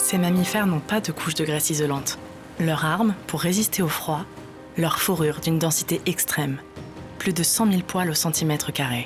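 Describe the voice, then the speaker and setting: A woman at a fairly low pitch with ordinary pitch variation, very even loudness and a moderate pace, with music in the background. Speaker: voice actor. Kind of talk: documentary narration.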